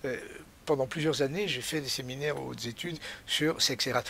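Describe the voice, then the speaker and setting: Fairly high for a man, this voice has a bright, sharp tone and vocal fry. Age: 70s. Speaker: author and scholar. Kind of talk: interview. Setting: home library.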